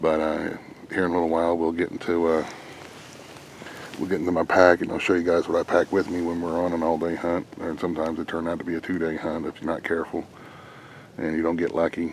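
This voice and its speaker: A man speaks quietly at a very fast pace, his very deep, low voice flat and monotone over noticeable background noise. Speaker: hunter vlogger. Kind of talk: outdoor vlog. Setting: outdoors in woods. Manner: quiet, hushed.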